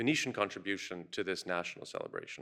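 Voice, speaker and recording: A man speaks at a very fast pace in a bright, sharp tone. The recording is very clean, with a silent background. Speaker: curator and critic giving keynote. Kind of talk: conference keynote talk. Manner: fast when excited.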